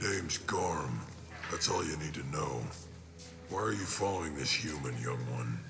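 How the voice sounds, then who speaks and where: Loud background noise fills the clip. A man talks in a put-on character voice at a moderate pace. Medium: machinima. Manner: gruff, blunt, boastful.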